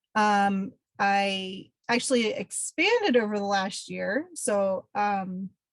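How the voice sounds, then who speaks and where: Her accent is American and her pitch sits in the middle of a woman's range. There is a somewhat breathy quality to her voice. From Pennsylvania. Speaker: environmental educator. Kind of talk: webinar presentation. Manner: many filler ums.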